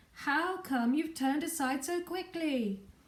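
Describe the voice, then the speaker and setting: Putting on a squeaky character voice, a woman speaks high and fairly slowly with lively intonation. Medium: read story. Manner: stern, authoritative.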